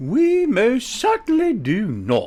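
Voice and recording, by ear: In a put-on character voice, a man speaks at a slow pace with an extremely high pitch, very wide pitch swings, and a dark, mellow tone.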